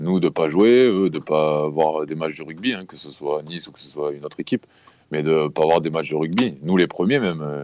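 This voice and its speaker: A man talks at a moderate pace with ordinary pitch variation. His pitch is very deep and low. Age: 20s. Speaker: rugby player. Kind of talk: interview testimony. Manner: halting, many fillers and repetitions; casual.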